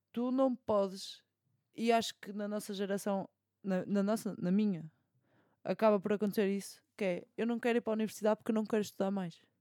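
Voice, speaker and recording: With a European Portuguese accent, a dark, mellow tone talks at a fairly quick pace in a monotone, flat intonation, the sound dry and close with no echo. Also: woman, medium pitch for a woman. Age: 20s. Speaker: podcast co-host, law student. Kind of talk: casual chat.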